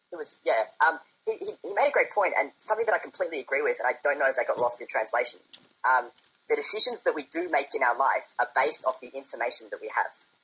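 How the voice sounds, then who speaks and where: A man with an Australian accent, talking at a very fast pace. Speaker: debate guest. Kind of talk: debate.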